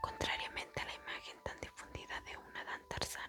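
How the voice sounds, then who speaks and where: Someone is whispering while music plays in the background. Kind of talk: whispered ASMR Bible reading for sleep. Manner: whispered, soft-spoken.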